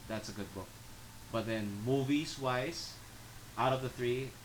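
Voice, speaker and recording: Amid noticeable background noise and audible room echo, a man with a medium pitch speaks with fairly even intonation and long, frequent pauses. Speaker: podcast co-host. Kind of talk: casual chat.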